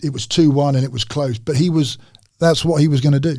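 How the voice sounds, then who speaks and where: A man with a fairly high pitch speaks at a fairly quick pace in a somewhat breathy voice. His tone is dark and mellow, and his intonation fairly even. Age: 60s. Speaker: retired footballer. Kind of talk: casual chat.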